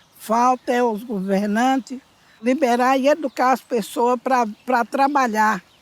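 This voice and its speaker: At a fairly slow pace, a woman speaks with a high pitch, very even loudness and fairly even intonation, in a dry, close sound with no echo. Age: 70s. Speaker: miner. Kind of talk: interview.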